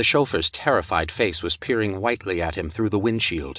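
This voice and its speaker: Against a quiet background, a man speaks at a moderate pace with a dry, close sound and no echo. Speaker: audiobook narrator. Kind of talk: dramatic pulp-thriller audiobook narration. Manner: punchy, suspenseful pacing through gunfight action.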